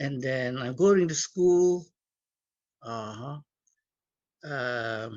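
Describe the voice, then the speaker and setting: Lively in intonation yet very slow, a man at a medium pitch leaves long, frequent pauses. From Indonesia. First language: Cantonese. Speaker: community leader and guest speaker. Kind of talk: talk to students. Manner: halting.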